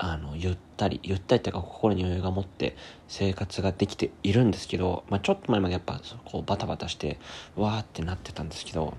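This man talks at a very fast pace in a very deep, low pitch with ordinary pitch variation. His tone is dark and mellow and somewhat breathy. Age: 20s. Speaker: podcaster and musician. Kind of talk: casual solo monologue.

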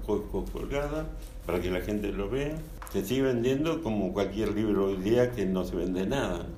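At a moderate pace and with ordinary pitch variation, the voice comes through with audible room echo. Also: man. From Argentina, Buenos Aires. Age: 80s+. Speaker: architect and author. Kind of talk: interview.

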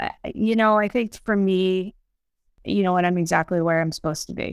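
A woman has a fairly low pitch. She speaks at a moderate pace. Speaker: cardiologist co-host. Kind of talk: personal testimony in casual chat. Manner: halting, many fillers.

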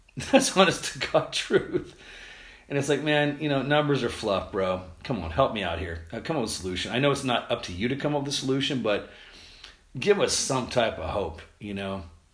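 Using a fairly quick pace, a man speaks with vocal fry and very wide pitch swings. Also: medium pitch for a man. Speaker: podcast host and tour photographer. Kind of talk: casual solo podcast monologue. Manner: fast talker; rambling, informal, filler words.

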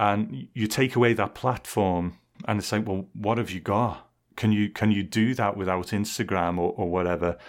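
A man talks at a moderate pace with an English accent, his pitch fairly low. The recording is very clean with a silent background. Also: ordinary pitch variation. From England. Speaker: podcast host. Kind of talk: casual chat.

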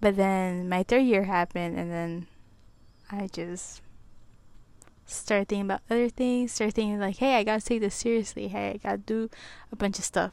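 On a very clean recording with a silent background, a woman speaks at a moderate pace and medium pitch, with fairly even intonation and long, frequent pauses. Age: 20s. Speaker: solo podcaster, college student. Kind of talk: casual monologue. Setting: home recording with small clip-on mic.

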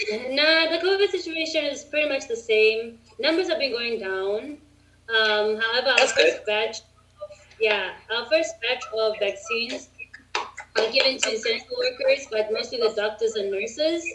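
With noticeable background noise behind her, a woman talks at a moderate pace in a high voice with lively intonation. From South Africa. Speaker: English teacher. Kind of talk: casual chat. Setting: video call.

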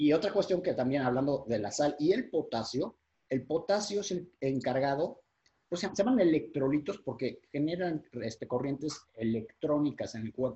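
A somewhat breathy man at a fairly high pitch, with lively intonation and a moderate pace. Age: 40s. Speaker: fitness and nutrition coach. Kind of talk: interview explanation.

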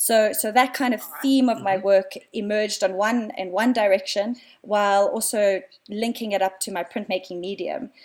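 A woman with a South African accent speaks at a moderate pace and a medium pitch, her intonation fairly even. The recording is very clean, with a silent background. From South Africa, Cape Town. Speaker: artist, printmaker. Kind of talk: casual interview. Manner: hesitant, many fillers.

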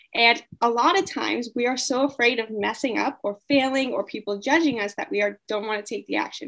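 Talking at a fairly quick pace with hardly any pauses, a woman with an American accent has an unremarkable speaking voice, fairly high in pitch with ordinary pitch variation. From US, California. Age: 20s. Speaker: mindset coach and traveler. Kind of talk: interview answers.

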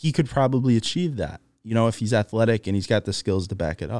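A man speaks with a fairly low pitch and ordinary pitch variation. The recording is very clean, with a silent background and a dry, close sound with no echo. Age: 20s. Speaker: podcast host. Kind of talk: casual monologue. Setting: studio on camera. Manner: hesitant, filler-heavy.

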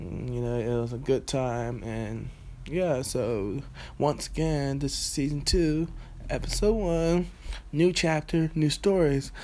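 Speaking very slowly, a man with a fairly high pitch and a dark, mellow tone uses lively intonation. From Bermuda. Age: 20s. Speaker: podcast host, aspiring filmmaker. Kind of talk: solo podcast monologue. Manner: casual, rambling with fillers.

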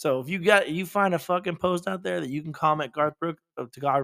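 A high-pitched man talks with lively intonation and a bright, sharp tone. The sound is dry and close, with no echo. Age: 30s. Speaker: podcast co-host. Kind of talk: casual chat.

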